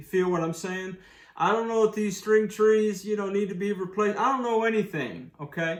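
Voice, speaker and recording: A man speaks loudly in a high, animated voice. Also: ordinary pitch variation, moderate pace. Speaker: guitar reviewer. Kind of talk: product review. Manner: casual, animated.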